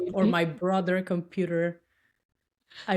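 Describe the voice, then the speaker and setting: This voice moves at a fairly slow pace in a Dominican accent. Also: woman. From Dominican Republic. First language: Spanish. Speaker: tech worker and cosplayer. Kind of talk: podcast interview answer.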